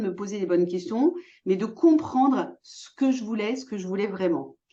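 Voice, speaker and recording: A woman talks at a fairly quick pace in a somewhat breathy, fairly high voice with a dark, mellow tone. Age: 60s. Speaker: entrepreneur, former physiotherapist. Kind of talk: interview.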